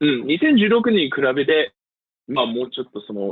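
A man with an English accent and lively intonation. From US, Pennsylvania. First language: English (speaking Japanese). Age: 20s. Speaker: voter-registration volunteer field manager. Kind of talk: interview. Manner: halting, with fillers.

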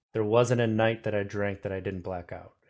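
A fairly low-voiced man speaking in a flat monotone at a moderate pace, on a very clean recording with a silent background. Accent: American. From Wisconsin. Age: 30s. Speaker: podcast host. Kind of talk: casual interview chat.

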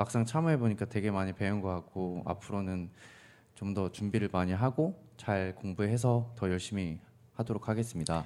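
A man speaks with a fairly low pitch and a dark, mellow tone, varying his pitch in an ordinary way. The recording is very clean, with a silent background. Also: moderate pace. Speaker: university student, mock interviewee. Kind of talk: mock job interview. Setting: studio. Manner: lacking confidence.

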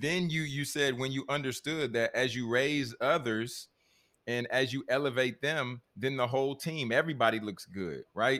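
In a very clean recording with a silent background, a man with a medium-pitched, bright, sharp tone talks at a moderate pace with ordinary pitch variation. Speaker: podcast host and coach. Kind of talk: interview conversation. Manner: frequent stammering repeats; energetic, enthusiastic.

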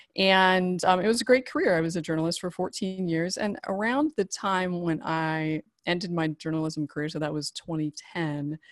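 A woman with a normal speaking voice and an American accent talks at a fairly quick pace and fairly low pitch, on a very clean recording with a silent background and a dry, close sound with no echo. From US, rural Idaho. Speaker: marriage and family therapist, former journalist. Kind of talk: casual interview.

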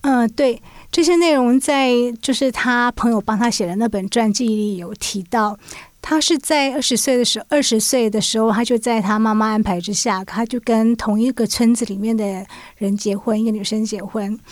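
A normal speaking voice from a woman, ordinary pitch variation, moderate pace, very clean recording with a silent background. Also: fairly high pitch for a woman. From Taiwan, urban. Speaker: magazine journalist. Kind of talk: podcast interview.

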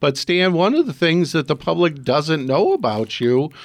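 This man has a normal speaking voice, fairly high in pitch, with lively intonation. He talks at a fairly slow pace against a quiet background. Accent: American. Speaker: radio host. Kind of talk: radio talk show hosting. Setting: radio studio.

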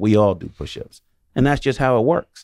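In a New York accent, a man talks at a moderate pace and medium pitch, on a very clean recording with a silent background and a dry, close sound with no echo. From New York City. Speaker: retired police detective and basketball coach. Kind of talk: radio panel discussion. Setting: radio studio.

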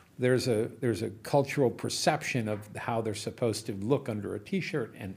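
A somewhat breathy delivery at a moderate pace with ordinary pitch variation. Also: man. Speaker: entrepreneur. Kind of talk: casual chat.

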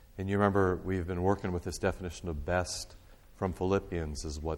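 A man speaks in a very deep, low pitch. His intonation stays fairly even. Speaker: pastor teaching a church class. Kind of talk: bible teaching talk. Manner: loud.

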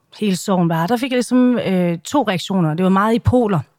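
The audio is very clean with a silent background. On it, a woman talks. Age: 40s. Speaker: social media personality and campaigner. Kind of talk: interview. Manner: halting.

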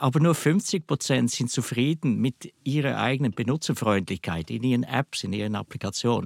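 In a Swiss German accent, a man talks at a moderate pace with hardly any pauses, a medium pitch, and vocal fry, on a very clean recording with a silent background. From Switzerland. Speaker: software company director. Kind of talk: interview.

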